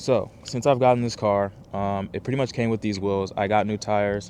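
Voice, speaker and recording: A man's voice over noticeable background noise. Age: 20s. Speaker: car vlogger. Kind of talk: casual vlog talk to camera. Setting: outdoors. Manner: fast.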